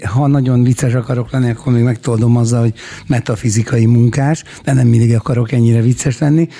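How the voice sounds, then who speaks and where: Noticeable background noise sits under very fast speech with very even loudness and fairly even intonation. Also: man, medium pitch for a man. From Hungary. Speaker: radio host and rock musician. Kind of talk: interview.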